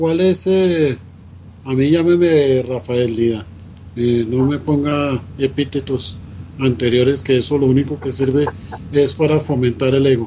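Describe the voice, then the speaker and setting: A man of medium pitch with a dark, mellow, somewhat breathy tone speaks at a fairly slow pace at a very even loudness. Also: ordinary pitch variation. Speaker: radio host. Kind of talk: radio interview.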